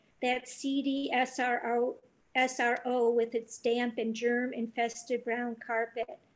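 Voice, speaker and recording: Over a quiet background, a woman speaks very slowly at a high pitch, her intonation monotone and flat. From Cleveland, Ohio, US Midwest. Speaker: novelist and poet reading. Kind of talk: literary audiobook reading of novel passages. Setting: video call. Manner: reflective, deliberate, conversational reading.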